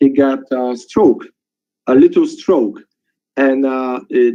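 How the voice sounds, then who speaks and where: Fairly even intonation marks a man's medium-pitched speech. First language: not English. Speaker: webinar participant sharing a testimonial. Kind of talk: testimony. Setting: webinar call. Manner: halting.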